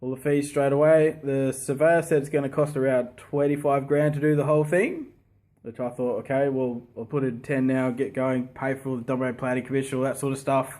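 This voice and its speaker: The speaker uses a monotone, flat intonation with an Australian accent. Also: man, fairly high pitch for a man, fairly quick pace. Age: 30s. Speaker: property investor. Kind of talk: casual talk to camera.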